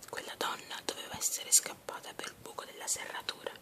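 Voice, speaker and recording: Whispered at a moderate pace. Noticeable noise sits in the background. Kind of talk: ASMR fairy tale reading.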